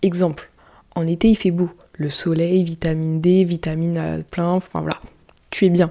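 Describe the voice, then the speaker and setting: Speaking at a moderate pace, a woman with a fairly low pitch and a dark, mellow tone keeps a monotone, flat intonation while her loudness swings widely. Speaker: podcaster and YouTuber. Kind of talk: casual solo podcast. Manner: quieter than usual.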